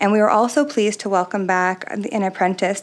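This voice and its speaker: A soft-spoken woman talks at a moderate pace with a Canadian accent. Her pitch sits in the medium range. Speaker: arts society executive director. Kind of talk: presentation to city council. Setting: city council meeting.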